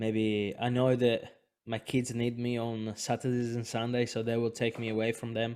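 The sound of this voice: With little pitch movement, a man speaks in a slightly mellow tone.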